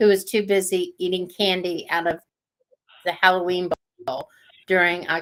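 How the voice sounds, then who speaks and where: Her tone bright and sharp, a woman speaks at a medium pitch and moderate pace with fairly even intonation. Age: 50s. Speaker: stroke and cancer survivor. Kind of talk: interview answer. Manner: slurred speech.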